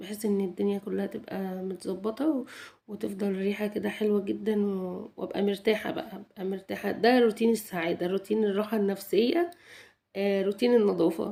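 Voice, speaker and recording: The voice has a dark, mellow tone, ordinary pitch variation and an Egyptian accent. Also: woman, medium pitch for a woman, moderate pace. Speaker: home vlogger. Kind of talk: cleaning routine vlog narration. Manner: halting, many restarts.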